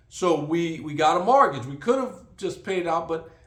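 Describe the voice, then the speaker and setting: At a moderate pace, a man with a high pitch and ordinary pitch variation speaks amid audible room echo. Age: 60s. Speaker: vlogger. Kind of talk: casual monologue. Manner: halting, many fillers.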